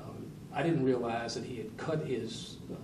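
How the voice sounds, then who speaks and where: A man's speech is accompanied by clear background noise and the audible echo of a room. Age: 60s. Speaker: sheriff. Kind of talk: news interview. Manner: halting.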